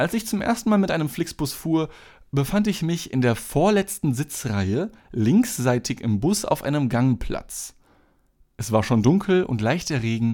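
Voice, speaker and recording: The very clean recording with a silent background carries a man's fairly high pitch, dark, mellow tone and very wide pitch swings at a fairly slow pace. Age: 20s. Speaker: podcast host and gas station worker. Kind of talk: casual solo monologue; reading aloud own written story. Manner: hesitant, many filler sounds.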